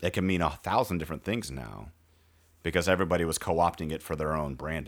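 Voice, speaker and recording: Over a very clean recording with a silent background, a man with a very deep, low pitch talks at a very fast pace with vocal fry. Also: ordinary pitch variation. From rural area. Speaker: podcast host. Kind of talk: casual chat.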